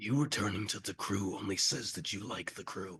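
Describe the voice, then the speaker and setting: A man puts on a raspy character voice. His pitch sits fairly low. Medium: actual play. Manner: terse, formal, questioning.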